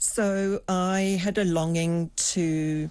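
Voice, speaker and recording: Against a quiet background, a woman speaks with a dark, mellow tone. She has a slight South African accent. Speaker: executive coach and former psychotherapist. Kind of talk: interview.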